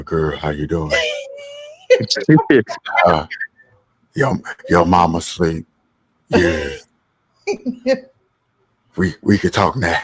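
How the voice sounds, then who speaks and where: In a put-on character voice, a man drawls very slowly at a very deep, low pitch, raspy and broken by long, frequent pauses. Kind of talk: casual. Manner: smooth and flirty.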